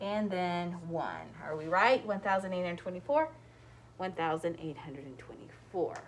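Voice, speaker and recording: A normal speaking voice from a woman at medium pitch, moderate in pace, with lively intonation. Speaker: elementary school teacher. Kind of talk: math tutorial. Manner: casual.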